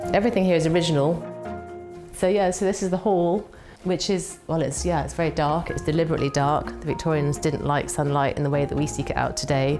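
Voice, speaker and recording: Very deep, low female voice with ordinary pitch variation, very fast pace, music in the background. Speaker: country house owner. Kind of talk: casual talk to camera. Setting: indoors in a historic house.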